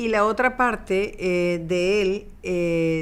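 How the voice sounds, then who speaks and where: Medium pitch from a woman with fairly even intonation. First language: Spanish. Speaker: documentary director. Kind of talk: interview. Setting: film festival.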